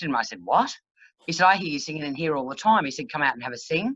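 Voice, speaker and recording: A very deep, low-pitched woman with an Australian accent and lively intonation, over a quiet background. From Queensland, Australia (Brisbane). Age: 60s. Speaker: country singer-songwriter. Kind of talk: casual interview. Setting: video call.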